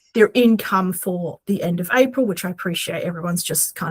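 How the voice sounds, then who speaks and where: A woman in a Queensland accent, medium pitch, ordinary pitch variation and moderate pace, on a very clean recording with a silent background. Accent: Australian, Queensland. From Australia, Queensland. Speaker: podcast co-host, aspiring romance author. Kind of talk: casual chat. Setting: podcast recording at home.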